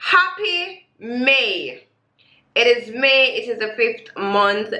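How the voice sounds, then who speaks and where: Raising and projecting her voice, a woman speaks at a high pitch and a very slow pace with very wide pitch swings. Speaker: reaction video host. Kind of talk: casual talk to camera.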